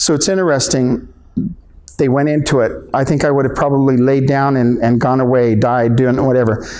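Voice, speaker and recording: With an American accent and a dark, mellow tone, a man speaks at a moderate pace and medium pitch with fairly even intonation, in audible room echo. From Southern California, San Juan Capistrano. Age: 60s. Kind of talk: public talk. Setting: library event. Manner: halting.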